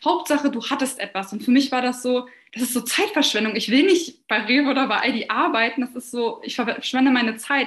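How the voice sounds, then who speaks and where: This woman talks fairly quickly in a high pitch with ordinary pitch variation. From Lower Saxony, Germany (near Hannover). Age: 20s. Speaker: social media agency owner. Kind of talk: client testimonial interview.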